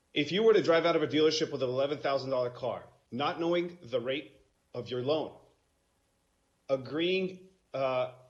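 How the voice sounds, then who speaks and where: Audible room echo surrounds a man with a fairly high voice and ordinary pitch variation. He leaves long, frequent pauses. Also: moderate pace. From Romania. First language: Romanian. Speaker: self-represented litigant. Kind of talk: court oral argument. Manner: halting.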